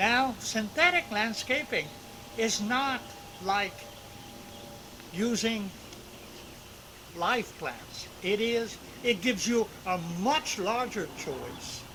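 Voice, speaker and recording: With noticeable background noise behind him, a man with a high voice talks at a very slow pace, leaving long, frequent pauses and using ordinary pitch variation. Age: 70s. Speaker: landscape architect. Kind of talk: home tour video.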